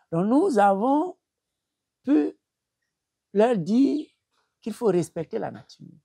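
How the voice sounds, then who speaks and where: At a fairly slow pace, a man with a Cameroonian accent speaks, the sound dry and close with no echo. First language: Bassa (speaking French). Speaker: traditional healer. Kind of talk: interview. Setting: at his home. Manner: halting, with repetitions.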